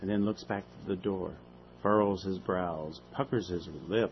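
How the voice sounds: Fairly even intonation in a natural reading voice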